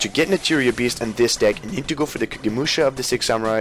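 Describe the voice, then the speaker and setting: A man speaking very fast over noticeable background noise. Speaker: card game YouTuber. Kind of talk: deck profile tutorial. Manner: halting, with restarts.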